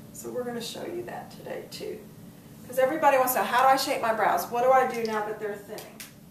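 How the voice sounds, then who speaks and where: The voice belongs to a woman and is an unremarkable speaking voice. It rests fairly high, moving with ordinary pitch variation. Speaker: beauty host, former cosmetics business manager. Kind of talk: makeup tutorial demonstration.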